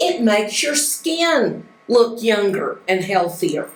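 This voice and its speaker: A woman with an American accent speaks at a fairly high pitch. There is audible room echo. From United States. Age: 70s. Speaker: life skills teacher. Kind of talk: lecture. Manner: animated.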